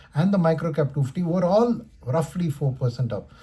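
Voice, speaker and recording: This man speaks in an Indian accent. His pitch varies in an ordinary way. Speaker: stock market commentator. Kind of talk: market commentary video. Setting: recording at home in his room. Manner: trying to talk faster and louder.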